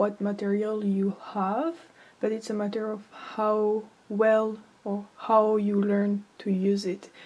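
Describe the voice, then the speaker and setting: Pausing long and often, a woman with a non-native accent speaks at a fairly high pitch. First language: not English. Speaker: amateur artist, art tutorial creator. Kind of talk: tutorial. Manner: halting, many fillers.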